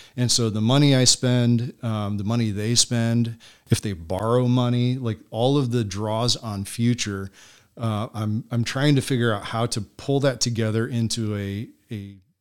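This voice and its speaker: A man with a plain, everyday voice talks at a moderate pace and medium pitch with fairly even intonation, on a very clean recording with a silent background. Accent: American. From Michigan and Pennsylvania, US. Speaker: ministry organization director. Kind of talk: interview conversation.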